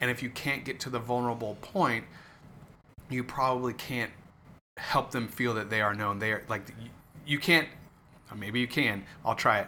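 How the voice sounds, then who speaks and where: Bright, sharp tone with ordinary pitch variation and long, frequent pauses. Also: man, medium pitch for a man, moderate pace. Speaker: podcast co-host. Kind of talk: casual chat. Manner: halting, occasional stutter.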